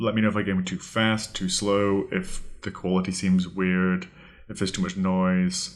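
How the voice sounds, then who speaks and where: A man's very deep, low voice in a British accent, monotone and flat in intonation, at a fairly slow pace. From Britain. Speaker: podcast host, vocabulary tutor. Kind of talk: podcast monologue, tutorial.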